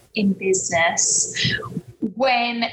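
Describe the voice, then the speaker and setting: This woman has a medium pitch, ordinary pitch variation, and an English accent. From London, England. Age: 30s. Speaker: life coach. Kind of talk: interview conversation.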